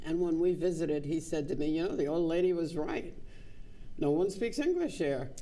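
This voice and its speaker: The pace is fairly quick. Audible room echo surrounds the voice. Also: woman, fairly low pitch for a woman, ordinary pitch variation, very even loudness. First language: Spanish. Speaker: visual artist. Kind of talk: interview.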